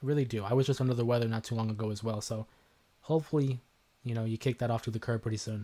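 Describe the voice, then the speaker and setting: At a very fast pace and with fairly even intonation, the speaker uses a somewhat breathy, dark, mellow voice with a Canadian accent, recorded very cleanly against a silent background. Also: man, medium pitch for a man. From Canada. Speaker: wrestling YouTuber. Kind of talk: live stream chat.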